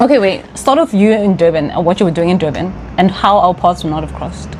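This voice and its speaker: A woman with a South African accent talks at a very fast pace, her pitch fairly low with ordinary variation. Noticeable background noise runs underneath. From South Africa, Johannesburg. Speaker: vlogger. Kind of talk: casual chat. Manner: animated.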